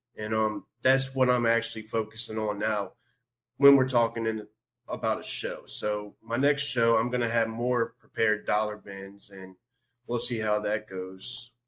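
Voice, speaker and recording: At a moderate pace and medium pitch, a man speaks with a Southern Louisiana accent in a monotone, flat intonation. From Louisiana, Covington. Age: 30s. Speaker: sports card collector. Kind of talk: interview.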